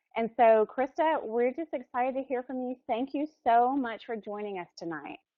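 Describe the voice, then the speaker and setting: In an American accent, a woman talks at a moderate pace with a high pitch and lively intonation. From US South, Alabama. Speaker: webinar organizer introducing speaker. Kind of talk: introduction.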